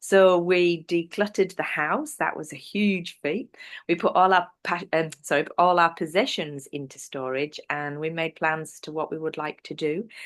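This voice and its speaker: Against a quiet background, a woman with an English accent talks at a moderate pace with hardly any pauses, a fairly low pitch, ordinary pitch variation and big swings in loudness. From northern England, North Yorkshire. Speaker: business presenter. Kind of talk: interview.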